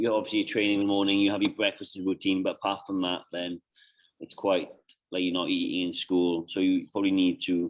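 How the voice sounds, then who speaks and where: Speaking at a fairly quick pace, a man talks with a British accent. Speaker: nutrition coach. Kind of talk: client consultation. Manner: halting; casual.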